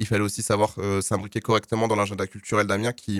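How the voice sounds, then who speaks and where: A man with a fairly low pitch and an unremarkable speaking voice is heard on a very clean recording with a silent background. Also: dry, close sound with no echo. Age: 20s. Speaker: student festival organizer. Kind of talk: radio interview.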